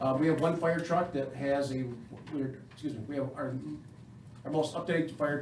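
With an American accent, a man talks at a fairly quick pace in a fairly high pitch and monotone, flat intonation, with noticeable background noise and audible room echo. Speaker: fire chief. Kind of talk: public meeting address. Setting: village council meeting. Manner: fast.

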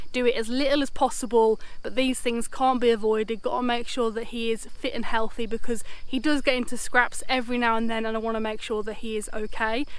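Delivering her lines at a fairly quick pace, a woman speaks with monotone, flat intonation in a dry sound with no echo. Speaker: vlogger. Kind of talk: casual vlog chat. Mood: cheerful, relieved. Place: open country. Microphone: phone near.

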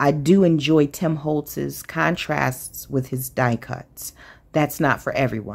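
In a very deep, low pitch, a woman speaks with ordinary pitch variation. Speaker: craft channel host. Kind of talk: casual haul show-and-tell.

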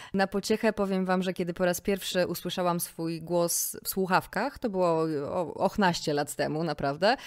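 A very clean, silent-background recording with ordinary pitch variation. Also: woman, medium pitch for a woman, moderate pace. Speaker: podcast host. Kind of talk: scripted narration; casual chat. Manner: calm, clear diction.

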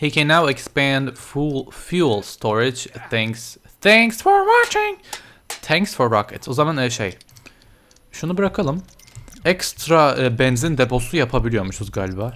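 The delivery is animated and fairly slow. Music plays in the background. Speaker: gaming YouTuber. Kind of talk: let's play commentary.

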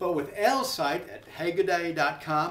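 A man talks in an American accent at a high pitch. The room has audible echo. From United States. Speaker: YouTube personality. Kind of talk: promotional vlog. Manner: casual, halting. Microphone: webcam.

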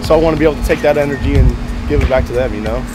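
A man speaks at a very fast pace. Clear music plays in the background, and the sound is dry with no echo. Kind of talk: casual conversation. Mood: earnest, grateful. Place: street.

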